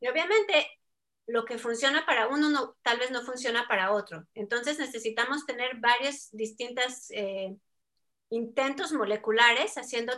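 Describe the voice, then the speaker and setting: Here a woman speaks in a high pitch. Her tone is bright and sharp. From Mexico. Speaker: scientist researching ageing. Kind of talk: interview.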